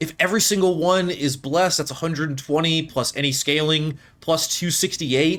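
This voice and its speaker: A man with a fairly high pitch speaks at a fairly quick pace. He leaves hardly any pauses. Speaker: video game commentator. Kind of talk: gameplay commentary. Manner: animated.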